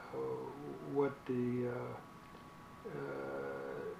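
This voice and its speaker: There is noticeable background noise. Through it, a man talks at a medium pitch. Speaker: WWII fighter pilot veteran. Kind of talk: interview answer. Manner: hesitant, many filler words.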